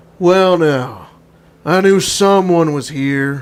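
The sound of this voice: Putting on a character voice, a man speaks at a very slow pace in a fairly high pitch.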